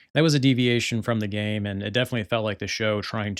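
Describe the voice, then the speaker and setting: A man's fairly low voice, fairly even in intonation, at a very fast pace. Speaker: podcast host. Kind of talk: casual review monologue. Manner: hesitant with many fillers.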